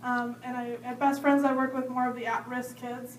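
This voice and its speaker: Audible room echo surrounds a woman speaking in a high voice with an American accent and a monotone, flat intonation. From US Midwest, Wisconsin. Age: 20s. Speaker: school board candidate. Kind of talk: candidate forum speech. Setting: public library meeting room.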